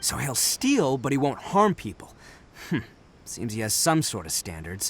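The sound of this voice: A man's put-on character voice, medium in pitch, fairly bright with a slightly husky edge, fairly slow and swinging very widely in pitch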